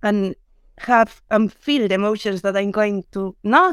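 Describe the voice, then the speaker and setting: A woman speaks with a Spanish accent at a fairly high pitch. The sound is dry and close, with no echo. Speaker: UX director. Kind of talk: panel discussion.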